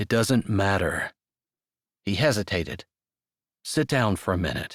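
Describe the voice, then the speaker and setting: Doing a put-on character voice, a man speaks at a fairly low pitch and moderate pace in a dry, close sound with no echo. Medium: read story. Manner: earnest, measured.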